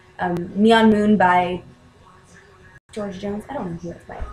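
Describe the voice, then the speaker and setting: Somewhat breathy, a woman speaks in a medium pitch at a moderate pace. Her intonation stays fairly even. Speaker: vlogger and aspiring musician. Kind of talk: casual vlog monologue. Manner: halting.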